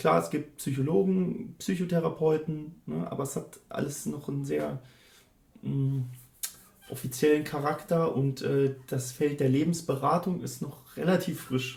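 There is noticeable background noise as a man talks at a fairly slow pace. His fairly high pitch carries lively intonation. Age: 30s. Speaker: student counsellor. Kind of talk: interview. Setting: office.

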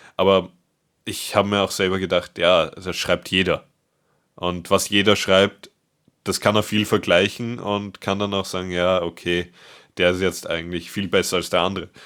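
At a moderate pace with long, frequent pauses, a man with a very deep, low pitch speaks in a monotone, flat intonation on a very clean recording with a silent background. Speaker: podcast co-host, paramedic. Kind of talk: casual chat.

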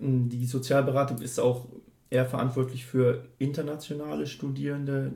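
Amid audible room echo, a man speaks at a medium pitch and a moderate pace. His voice is somewhat breathy and dark, mellow in tone, with monotone, flat intonation. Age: 30s. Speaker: student counsellor. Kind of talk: interview. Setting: office.

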